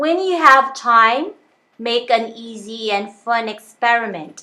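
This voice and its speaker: A woman's fairly high, bright, sharp voice in an Italian accent, very slow with lively intonation, on a very clean recording with a silent background. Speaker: self-help coach. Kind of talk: lecture.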